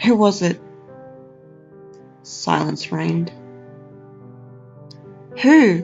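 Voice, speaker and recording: With music in the background, the speaker uses an Australian accent at a very slow pace with long, frequent pauses. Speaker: narrator. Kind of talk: horror story narration.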